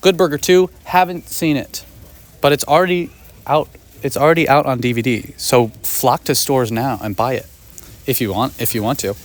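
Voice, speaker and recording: A man's fairly high voice with an American accent, moderate pace and lively intonation. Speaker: movie vlogger. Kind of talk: casual vlog. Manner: animated.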